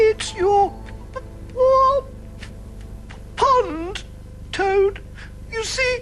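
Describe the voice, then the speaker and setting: A cartoonish character voice pitched extremely high, moving at a very slow pace with long, frequent pauses. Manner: meek, hesitant.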